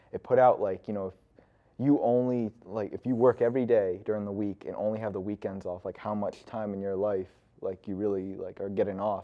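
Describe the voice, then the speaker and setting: A man speaks with an American accent at a fairly low pitch. His pace is fairly quick, his intonation fairly even, and he has an ordinary speaking voice. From Connecticut. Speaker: recent college graduate. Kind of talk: casual interview chat.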